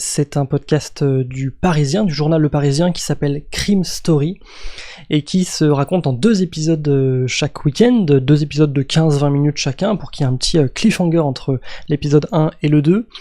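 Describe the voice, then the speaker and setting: Using ordinary pitch variation at a moderate pace, a man speaks with a fairly high pitch and a dark, mellow tone. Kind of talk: casual podcast recommendation to camera. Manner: enthusiastic, hesitant with fillers.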